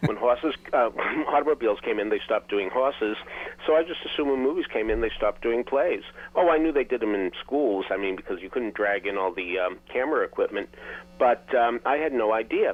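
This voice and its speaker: A man with a Boston accent talks at a fairly quick pace and medium pitch, with ordinary pitch variation and noticeable background noise. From Boston, US New England. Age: 70s. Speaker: theater critic and author. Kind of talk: interview storytelling.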